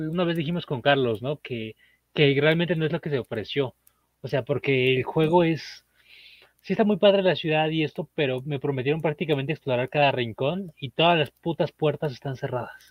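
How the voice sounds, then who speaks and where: Speaking at a moderate pace in a Mexican accent, a man has a fairly high voice with ordinary pitch variation. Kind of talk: casual chat. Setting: live stream.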